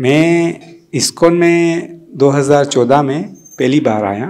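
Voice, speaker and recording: Using ordinary pitch variation, a man speaks at a fairly high pitch. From Tanzania, East Africa, Gujarati family. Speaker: devotee speaker at memorial gathering. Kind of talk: personal testimony. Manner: halting, with many fillers.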